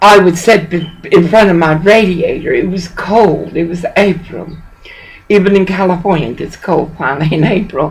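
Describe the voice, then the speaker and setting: Over noticeable background noise, a woman speaks at a moderate pace with a fairly low pitch and fairly even intonation. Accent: Southern US. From US South. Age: 60s. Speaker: pastor. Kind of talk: phone call complaint.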